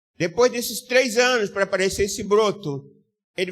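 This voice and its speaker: A man is speaking. His pace is fairly quick. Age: 60s. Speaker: pastor. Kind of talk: sermon.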